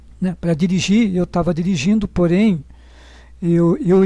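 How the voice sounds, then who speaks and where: Speaking at a fairly slow pace, a man with a high pitch and a dark, mellow tone varies his pitch in an ordinary way. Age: 60s. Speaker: patient sharing experience. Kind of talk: personal testimony. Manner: halting, many fillers.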